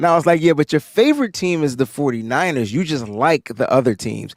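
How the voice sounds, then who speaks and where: A man speaks loudly at a fairly quick pace, his fairly high pitch swinging very widely in an animated tone, on a very clean recording with a silent background and a dry, close sound with no echo. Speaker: podcast co-host. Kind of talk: casual chat.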